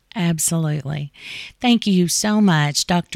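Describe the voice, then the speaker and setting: In an Appalachian accent, a woman with a fairly low pitch talks at a fairly slow pace, in a very clean recording with a silent background and a dry, close sound with no echo. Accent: Appalachian Kentucky. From Eastern Kentucky, US. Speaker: podcast host. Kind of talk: casual interview. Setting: studio.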